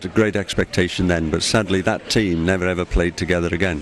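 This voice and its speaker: Over noticeable background noise, a man with a very deep, low voice talks at a fairly quick pace with fairly even intonation. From Wales, Cardiff. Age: 60s. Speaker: football fan. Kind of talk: interview. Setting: airport.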